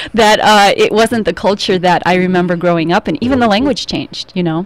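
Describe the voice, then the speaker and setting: The voice moves at a fairly quick pace with ordinary pitch variation. Noticeable background noise can be heard. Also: woman, medium pitch for a woman. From California, Russian-American community. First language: Russian. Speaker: dance coach and show host. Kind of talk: casual chat.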